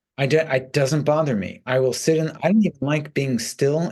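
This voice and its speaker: A man speaks in a normal speaking voice, fairly high in pitch, moderately paced and with ordinary pitch variation. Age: 60s. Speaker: rock bass player. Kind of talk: interview.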